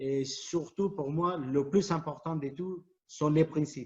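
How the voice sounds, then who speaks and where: This man speaks with a Spanish accent at a fairly high pitch. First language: Spanish (speaking French). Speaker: futsal coach. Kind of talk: presentation to fellow coaches. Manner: halting, many repetitions and fillers.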